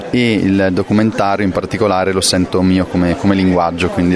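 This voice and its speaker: Against crowd noise in the background and audible room echo, a man with a very deep, low voice talks at a fairly quick pace in a monotone, flat intonation. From northern Italy, Brescia area (Lake Garda). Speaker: film director. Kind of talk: interview. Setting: film festival. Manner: hesitant, many fillers.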